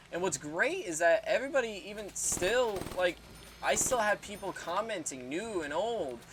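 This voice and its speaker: A man's voice is heard over noticeable background noise. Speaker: YouTuber, music reaction and gaming channel. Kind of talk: casual talk to camera over gameplay. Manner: halting, many fillers.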